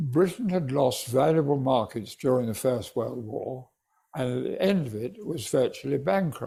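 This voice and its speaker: The voice has a dark, mellow tone and is somewhat breathy. Its intonation is lively and the pace moderate. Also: man, fairly high pitch for a man. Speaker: retired judge and author. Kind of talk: interview answer.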